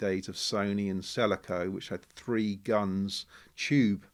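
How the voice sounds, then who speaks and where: A man's voice, fairly low in pitch. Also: very clean recording, silent background. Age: 60s. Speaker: business owner. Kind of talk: podcast interview. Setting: showroom cinema demo room. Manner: hesitant, many fillers.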